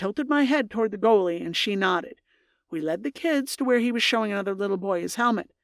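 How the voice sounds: A natural reading voice carries lively intonation. The background is quiet.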